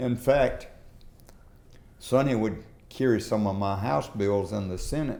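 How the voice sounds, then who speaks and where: With a Southern US accent, a man speaks at a fairly slow pace with long, frequent pauses, his medium-pitched voice dark and mellow in tone, with ordinary pitch variation and audible room echo. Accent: Southern US (Georgia). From US South, southwest Georgia. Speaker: former state legislator and business leader. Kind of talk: oral history interview. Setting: in-person interview.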